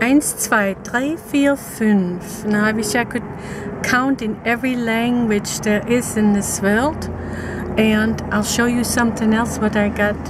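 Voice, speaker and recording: Woman speaking at a fairly slow pace amid noticeable background noise. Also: dry sound with no echo. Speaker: vlogger. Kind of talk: casual vlog chat. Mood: playful, cheerful. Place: car. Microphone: phone near.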